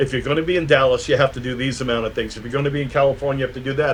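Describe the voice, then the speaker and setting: A man with a New York accent talks very fast at a medium pitch, his intonation fairly even. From New York, Brooklyn. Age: 60s. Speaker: electronic musician and producer. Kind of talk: interview. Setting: video call. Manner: halting, many repeated words.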